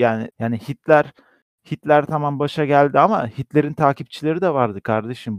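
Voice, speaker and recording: A plain, everyday voice from a man, fairly high in pitch, with ordinary pitch variation, a fairly quick pace, a quiet background, and a dry, close sound with no echo. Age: 20s. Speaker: podcast co-host. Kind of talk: casual chat.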